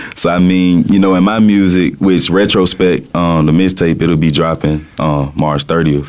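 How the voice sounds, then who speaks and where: A man speaks in a Southern US accent with fairly even intonation. Noticeable background noise runs behind him. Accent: Southern drawl. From US South, Birmingham, Alabama. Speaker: rapper. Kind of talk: radio interview.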